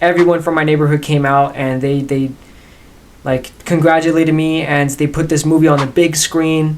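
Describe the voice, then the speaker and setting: Over noticeable background noise, a man speaks in a fairly high pitch with monotone, flat intonation. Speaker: actor reacting to own scenes. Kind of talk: casual reaction commentary. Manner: fast.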